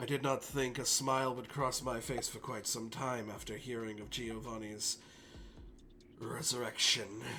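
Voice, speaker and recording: A man does a put-on character voice that is raspy and medium in pitch. He keeps a monotone, flat intonation at a moderate pace, with clear background noise. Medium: actual play. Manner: formal, measured, composed.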